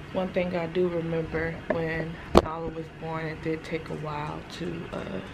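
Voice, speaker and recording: A woman at a fairly slow pace amid loud background noise. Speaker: new mother vlogger. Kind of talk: casual vlog chat.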